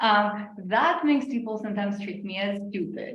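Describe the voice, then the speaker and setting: A woman's somewhat breathy voice with lively intonation. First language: not English. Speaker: AI ethics researcher. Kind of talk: panel discussion.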